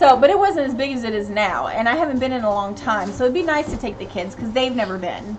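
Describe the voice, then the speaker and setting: Her high voice swinging very widely in pitch, a woman talks fairly quickly amid noticeable background noise and audible room echo. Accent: American. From US South, Tennessee (Knoxville). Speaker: family channel live streamer, parent. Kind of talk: casual live stream chat reading comments.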